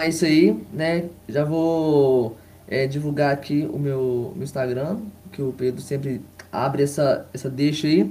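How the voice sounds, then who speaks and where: A man with a dark, mellow, somewhat breathy tone speaks at a fairly slow pace, his fairly high pitch showing ordinary variation. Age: 20s. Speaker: football fan commentator. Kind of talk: casual chat.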